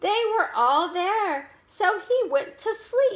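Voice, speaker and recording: A woman puts on a squeaky character voice at an extremely high pitch, with a warm tone. She talks very slowly, her pitch swinging very widely. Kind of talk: teacher's read-aloud story. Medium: read story. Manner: warm, expressive.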